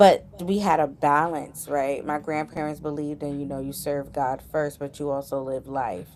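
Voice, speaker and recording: With a very deep, low pitch, a woman talks at a moderate pace with fairly even intonation and hardly any pauses over noticeable background noise. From New York, Southeast Queens. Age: 30s. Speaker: entrepreneur and school administrator. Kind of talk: interview conversation.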